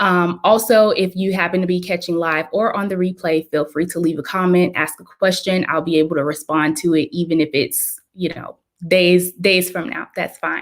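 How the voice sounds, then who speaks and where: Hardly pausing, a woman talks in a fairly low pitch. Her intonation stays fairly even. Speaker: pharmacist and health writing coach. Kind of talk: live video presentation. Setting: livestream. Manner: fast.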